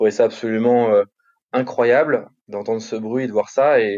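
At a very slow pace, a man speaks in a medium pitch with a dark, mellow tone. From France, Paris. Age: 30s. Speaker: chef and restaurateur. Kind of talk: interview conversation. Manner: halting, many repetitions.

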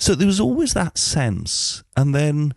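Against a quiet background, a man speaks with a Welsh accent, the sound dry and close with no echo. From Mid Wales. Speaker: musician and radio DJ. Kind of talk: casual interview. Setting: at his home.

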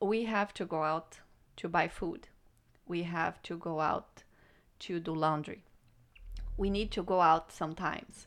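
A woman's fairly low voice with a non-native accent, fairly even intonation and a fairly slow pace broken by long, frequent pauses. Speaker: guest, co-host. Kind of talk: casual chat.

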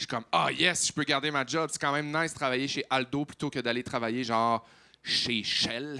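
A man talks at a fairly quick pace with a Quebec accent and fairly even intonation. His voice is fairly high in pitch with a bright, sharp tone. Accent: Quebec French, Saguenay. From Quebec, Saguenay (Chicoutimi). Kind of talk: casual chat. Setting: stage with audience.

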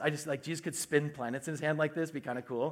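In a very clean recording with a silent background, a man uses a plain, everyday voice, fairly high in pitch with fairly even intonation. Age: 40s. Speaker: pastor. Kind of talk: sermon.

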